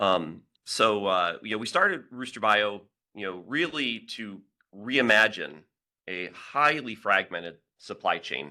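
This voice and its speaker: A man's fairly low pitch in a bright, sharp tone, with lively intonation, big swings in loudness, and a fairly slow pace, on a very clean recording with a silent background. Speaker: biotech company founder and engineer. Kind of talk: conference presentation.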